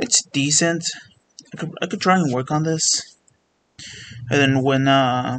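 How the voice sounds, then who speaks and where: Speaking at a fairly slow pace, a man leaves long, frequent pauses. His fairly high pitch shows ordinary variation. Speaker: gaming youtuber. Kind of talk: casual chat. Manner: halting.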